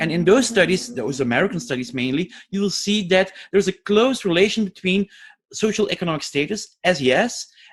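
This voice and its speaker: The speaker has a Flemish accent. The pace is fairly quick. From Flanders, Belgium. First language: Flemish (Dutch). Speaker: educational scientist and teacher trainer. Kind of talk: lecture. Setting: webinar.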